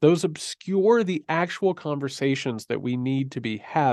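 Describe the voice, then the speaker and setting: With a normal speaking voice, a man talks at a moderate pace in a fairly high pitch and lively intonation, the sound dry and close with no echo against a quiet background. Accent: American. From rural US. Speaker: writer and academic. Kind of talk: interview.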